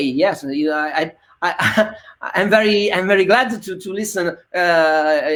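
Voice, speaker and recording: A woman with an Italian accent speaks at a fairly slow pace in a fairly low pitch, with ordinary pitch variation. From Italy, Bologna. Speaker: singer-songwriter. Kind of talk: casual chat. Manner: halting.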